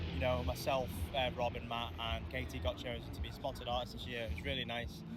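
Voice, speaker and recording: A man's medium-pitched voice at a very fast pace, with lively intonation and audible room echo. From Liverpool, England. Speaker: country singer. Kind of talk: casual interview.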